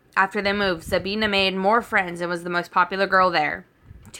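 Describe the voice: Someone reads aloud plainly.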